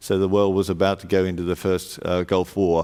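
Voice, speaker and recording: Speaking at a moderate pace, this man has an Australian accent. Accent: Australian twang. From Australia, Sydney. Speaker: panel moderator, insurance consultancy leader. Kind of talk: conference panel introduction. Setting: stage with audience. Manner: hesitant, many fillers.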